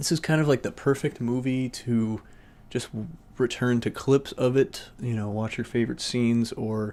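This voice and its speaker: He has an ordinary speaking voice and keeps a moderate pace. The man's intonation stays fairly even. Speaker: film reviewer. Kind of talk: casual movie review to camera.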